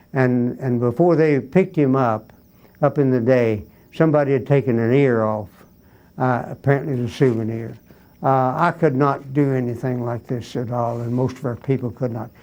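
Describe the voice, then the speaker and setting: Here a man talks at a moderate pace and medium pitch. His tone is dark and mellow, and his intonation fairly even. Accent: American. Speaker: war veteran, WWII Army Air Forces. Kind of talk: oral history interview, personal narrative.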